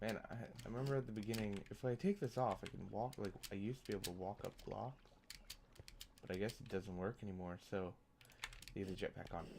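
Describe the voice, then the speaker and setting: A quiet man's voice, fairly low in pitch with ordinary pitch variation, at a fairly quick pace broken by long, frequent pauses. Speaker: gaming youtuber. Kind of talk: gameplay commentary. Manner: quiet, subdued; halting, many fillers.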